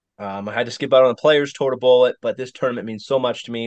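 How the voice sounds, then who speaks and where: In an unremarkable speaking voice, the man holds a medium pitch and shows ordinary pitch variation. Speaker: podcast co-host. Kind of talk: casual chat.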